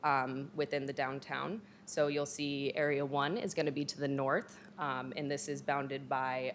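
A woman's voice at a moderate pace with ordinary pitch variation, over light background noise. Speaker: presenter. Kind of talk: formal presentation. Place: hall. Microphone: podium.

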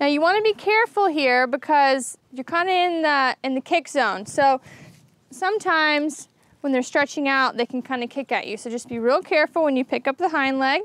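A woman's high voice at a moderate pace, dry and without echo. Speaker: show co-host. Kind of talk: comic tutorial. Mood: playful, joking. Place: street. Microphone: lapel.

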